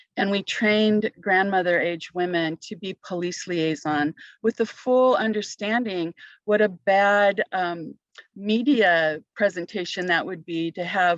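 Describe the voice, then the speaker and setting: Heard against a quiet background with a dry, close sound and no echo, a plain, everyday voice moves at a fairly slow pace with ordinary pitch variation. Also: woman, medium pitch for a woman. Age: 60s. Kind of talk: panel discussion, personal testimony.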